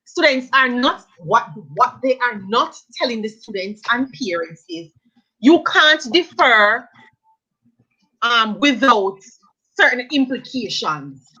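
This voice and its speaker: A woman speaks at a very slow pace in a high, bright, sharp voice, with very wide pitch swings and long, frequent pauses. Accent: Jamaican. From Jamaica. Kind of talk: casual live stream discussion.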